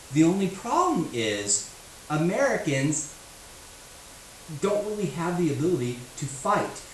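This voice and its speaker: A man with a high voice speaks at a fairly slow pace with very wide pitch swings and long, frequent pauses, his audio carrying audible room echo and noticeable background noise. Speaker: history teacher. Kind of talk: lecture.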